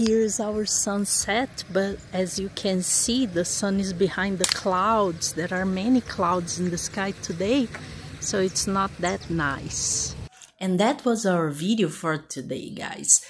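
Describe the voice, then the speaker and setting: A woman speaks at a very slow pace with ordinary pitch variation, over light background noise, in a dry sound with no echo. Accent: Portuguese. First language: Portuguese. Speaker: YouTuber building a house. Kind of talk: casual vlog narration. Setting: outdoors at a building lot. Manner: repeats and stumbles over words. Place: open country. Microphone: phone near.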